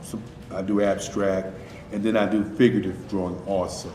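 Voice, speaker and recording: A man speaks in a fairly low voice. Audible room echo and noticeable background noise are present. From North Carolina, Durham. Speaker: artist. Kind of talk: interview.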